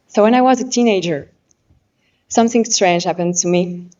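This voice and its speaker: A woman speaks with a French accent. Her pitch is medium with ordinary variation. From France. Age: 20s. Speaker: pageant contestant. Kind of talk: competition speech. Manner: halting.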